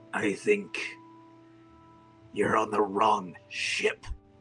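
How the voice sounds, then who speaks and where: A man performs in a put-on character voice. Clear music plays in the background. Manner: looming, authoritative.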